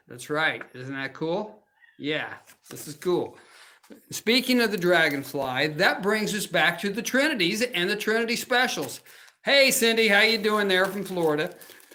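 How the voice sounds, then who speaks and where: A man speaks in a high, raised and projected voice with a bright, sharp, animated tone, lively intonation and a moderate pace. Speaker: crafting demo host. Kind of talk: live crafting show with sales pitch. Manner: loud.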